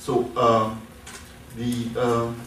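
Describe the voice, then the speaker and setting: A man speaks with audible room echo. Noticeable background noise runs behind him. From Syria, Damascus. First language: Arabic. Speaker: professor. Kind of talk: lecture. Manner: halting.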